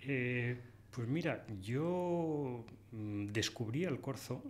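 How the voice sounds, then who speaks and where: A man speaks at a medium pitch. Light background noise can be heard. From Spain. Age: 60s. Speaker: hunter and conservation writer; podcast guest. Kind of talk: interview. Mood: calm, reflective. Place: studio. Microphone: studio mic.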